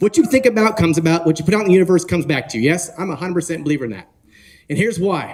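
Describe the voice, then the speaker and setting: A man with a West Coast accent talks at a very fast pace in a high pitch with an animated tone. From northern California. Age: 40s. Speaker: real estate conference speaker. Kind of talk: motivational talk. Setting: stage with audience.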